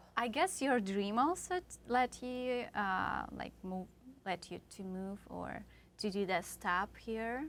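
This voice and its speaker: A woman talks very slowly, and her pitch moves in an ordinary way. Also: medium pitch for a woman. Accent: Tatarstan. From Tatarstan, Russia. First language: Tatar. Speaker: singer. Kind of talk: casual interview. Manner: halting.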